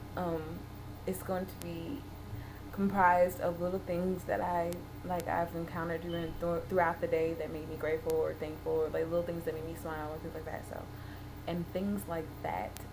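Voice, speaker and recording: A woman speaks at a fairly low pitch with fairly even intonation. The recording carries noticeable background noise and audible room echo. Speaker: vlogger. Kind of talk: video diary. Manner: fast.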